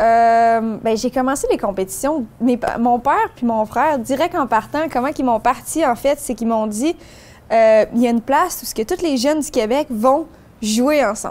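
At a moderate pace, a woman speaks at a high pitch with ordinary pitch variation. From Quebec. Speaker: amateur golfer; interviewee. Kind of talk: interview. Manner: halting. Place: open country.

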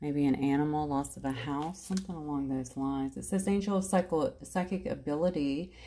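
At a fairly quick pace, a woman speaks in a very deep, low voice with ordinary pitch variation. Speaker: card reader. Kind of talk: card reading commentary. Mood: warm, encouraging. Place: home room. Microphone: phone near.

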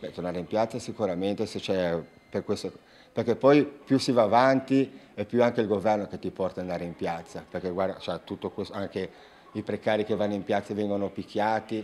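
Light background noise sits behind a man with a fairly low pitch. He speaks at a fairly quick pace with ordinary pitch variation. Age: 40s. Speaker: protester, unemployed bar owner; interviewee. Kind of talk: interview. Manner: halting. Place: home room. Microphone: handheld.

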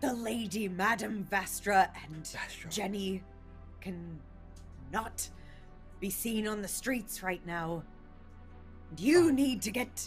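A woman's gruff, put-on character voice at medium pitch, fairly slow, with long, frequent pauses and clear music behind it. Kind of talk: tabletop roleplay, game master voicing. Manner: impatient, gruff.

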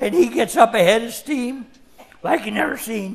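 Against a quiet background, a man speaks at an extremely high pitch with ordinary pitch variation. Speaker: storyteller. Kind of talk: storytelling performance. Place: stage. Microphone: headset.

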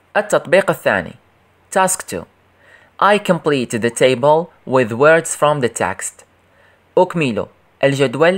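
Lively in intonation and fairly high-pitched for a man, his voice moves at a moderate speed on a very clean recording with a silent background. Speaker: English teacher for primary pupils. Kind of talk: tutorial.

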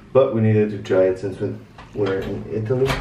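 Audible room echo and light background noise surround a man's fairly low voice. He keeps a moderate pace. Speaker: travel vlogger. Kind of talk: casual vlog chat. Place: home room. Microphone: phone near.

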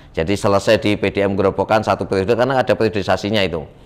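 As he speaks, a man moves his pitch up and down by an ordinary amount. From Semarang, Central Java; Central Java, Indonesia. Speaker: political candidate; candidate. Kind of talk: interview. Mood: relaxed, animated storytelling. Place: studio. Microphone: lapel.

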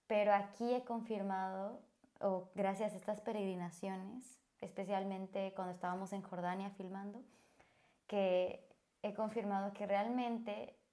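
A woman's dark, mellow, medium-pitched voice with a Bolivian accent, fairly slow and fairly even in intonation, over a quiet background. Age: 20s. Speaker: volunteer. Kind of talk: personal testimony. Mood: warm, sincere, smiling. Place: home room. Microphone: lapel.

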